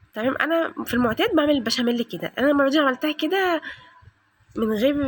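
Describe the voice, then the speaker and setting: A loud, high-pitched woman with lively intonation at a fairly quick pace. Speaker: home cooking and cleaning vlogger. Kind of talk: cooking tutorial. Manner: fast.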